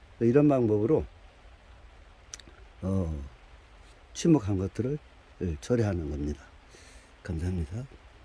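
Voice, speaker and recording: This man talks at a fairly slow pace, his fairly low voice dark, mellow and somewhat breathy. His pitch swings very widely, and he leaves long, frequent pauses. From Korea, dialect region. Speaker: bonsai grower. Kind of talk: tutorial. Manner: halting, many fillers.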